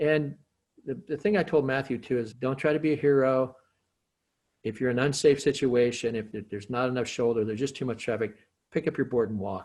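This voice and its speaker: A man's normal speaking voice at a medium pitch, with a fairly quick pace and ordinary pitch variation. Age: 60s. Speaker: skateboarder. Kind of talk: casual interview.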